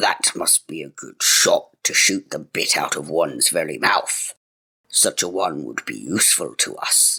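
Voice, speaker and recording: A man's growling, put-on character voice. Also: moderate pace. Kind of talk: archaic fairy-tale speech. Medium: read story. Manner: gruff, bossy.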